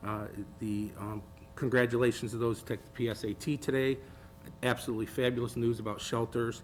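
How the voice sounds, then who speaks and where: With an American accent, a man of medium pitch talks at a fairly quick pace in monotone, flat intonation. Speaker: school board member. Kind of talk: public meeting remarks. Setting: board meeting with audience. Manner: halting.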